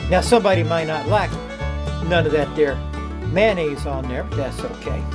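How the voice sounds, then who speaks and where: Someone speaks at a moderate pace in an American accent. Music plays clearly in the background. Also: man. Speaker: home cook. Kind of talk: casual cooking demo to camera. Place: kitchen. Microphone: phone near.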